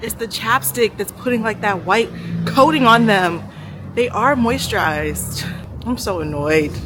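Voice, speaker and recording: Her lively intonation and medium pitch come through at a fairly slow pace as a woman speaks over music in the background. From Nigerian heritage. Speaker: travel vlogger. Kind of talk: casual vlog talk to camera. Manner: loud, carrying voice; animated, chatty.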